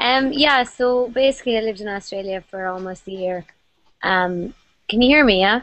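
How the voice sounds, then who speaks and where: A woman with an Irish accent, fairly high-pitched, ordinary pitch variation, moderate pace, dry sound with no echo. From Ireland. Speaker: YouTuber. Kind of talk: casual chat. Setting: video call. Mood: relaxed, chatty. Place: home room. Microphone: video call.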